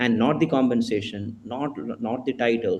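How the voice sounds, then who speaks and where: With fairly even intonation, a man talks in a somewhat breathy voice of medium pitch. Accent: strong Indian. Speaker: HR executive panelist. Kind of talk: webinar panel discussion. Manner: fast.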